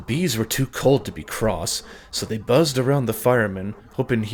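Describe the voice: Straightforward reading aloud, pitch varying ordinarily.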